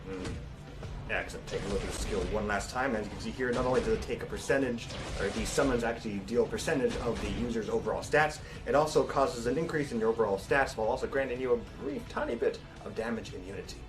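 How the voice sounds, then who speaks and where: Over music in the background and audible room echo, a man talks at a very fast pace. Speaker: game stream presenter. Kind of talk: game feature presentation.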